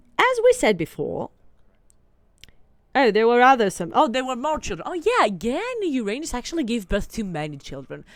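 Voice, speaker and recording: With a Greek accent and a fairly high pitch, a woman sounds animated, her voice making very wide pitch swings. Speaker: gaming streamer. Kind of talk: casual chat. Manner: rambling, animated.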